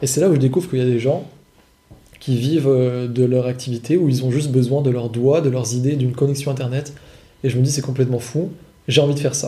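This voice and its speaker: Heard with audible room echo, a man's dark, mellow, somewhat breathy voice keeps fairly even intonation, broken by long, frequent pauses. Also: medium pitch for a man, fairly quick pace. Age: 20s. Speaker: online course seller, copywriter. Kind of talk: casual chat. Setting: in person, on location.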